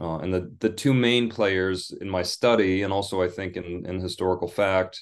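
Against a quiet background, a man with a Midwestern US accent speaks at a very deep, low pitch. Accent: General American, Midwestern. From US Midwest (Michigan). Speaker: English professor and author. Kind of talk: interview.

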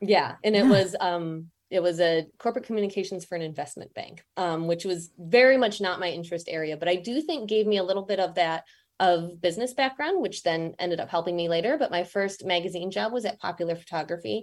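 On a very clean recording with a silent background, a woman with an American accent speaks very fast at a medium pitch. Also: ordinary pitch variation. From Michigan, US Midwest. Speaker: magazine editor and podcast host. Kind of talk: interview conversation.

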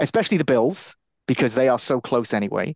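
A plain, everyday voice from a man at medium pitch, lively in intonation, in a dry, close sound with no echo and a quiet background. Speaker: podcast co-host, NFL and college football analyst. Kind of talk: casual sports chat.

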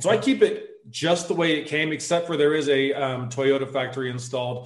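In an American accent, a man speaks with a normal speaking voice. His pitch is fairly high and his pitch variation is ordinary. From US South, suburban Atlanta. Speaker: army veteran and overlanding blogger. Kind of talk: casual interview chat.

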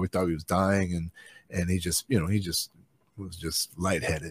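Very fast and in monotone, flat intonation, a man with a very deep, low pitch is heard in a dry, close sound with no echo. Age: 50s. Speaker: touring band musician. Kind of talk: casual chat.

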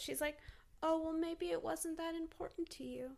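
A raised, projected voice with a bright, sharp tone swings very widely in pitch. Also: woman. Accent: American. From Texas. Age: 20s. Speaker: fine artist. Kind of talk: casual chat. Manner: animated, lots of pitch variation; bubbly.

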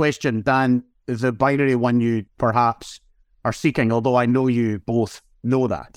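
A man speaks with a Scottish accent at a moderate pace and very even loudness. The recording is very clean, with a silent background and a dry, close sound with no echo. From Scotland. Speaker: national clinical director, physician. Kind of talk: interview.

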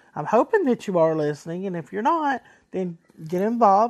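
A woman speaks with a Southern US accent. The background is quiet. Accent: country, Southern US. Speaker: podcast host. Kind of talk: casual solo podcast monologue. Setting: recorded on a cell phone, ringtone in background. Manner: casual, enthusiastic, a bit halting.

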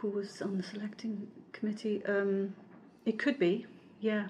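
Speaking with an American accent, a woman talks at a moderate pace with long, frequent pauses, and there is noticeable background noise. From Germany, Wales, Scotland and Florida. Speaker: MEP and former law professor. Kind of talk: interview answers on politics.

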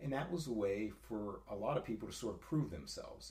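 Vocal fry runs through a man's fairly quick speech, which has ordinary pitch variation and audible room echo. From eastern Ohio, US. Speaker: gym member. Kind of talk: casual chat. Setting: in person, over coffee.

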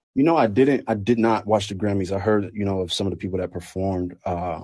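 Someone with a plain, everyday voice and an American accent talks at a fairly quick pace with ordinary pitch variation. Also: man. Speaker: recording artist. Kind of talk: casual interview. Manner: casual, relaxed.

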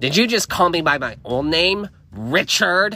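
Using a put-on character voice, a man growls at a high pitch for a man, with lively intonation and a moderate pace. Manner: snarling, hostile.

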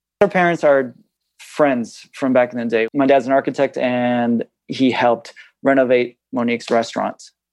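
A man talks at a moderate pace in a plain, everyday voice, with fairly even intonation. The sound is dry and close, with no echo. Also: medium pitch for a man. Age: 30s. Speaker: podcast guest seeking couples money coaching. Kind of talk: couples coaching conversation.

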